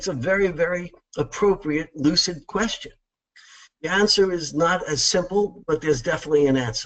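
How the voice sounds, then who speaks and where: This man speaks at a fairly quick pace in a New York accent. His pitch sits high. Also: ordinary pitch variation. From New York, Long Island. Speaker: accounting practice succession consultant. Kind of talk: webinar presentation. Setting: webinar, remote presentation.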